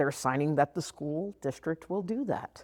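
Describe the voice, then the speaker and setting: A woman with a strong Texas accent speaks at a moderate pace in an animated tone, her fairly low voice captured on a very clean recording with a silent background. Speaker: former teacher and district special education trainer. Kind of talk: workshop presentation. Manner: animated, conversational.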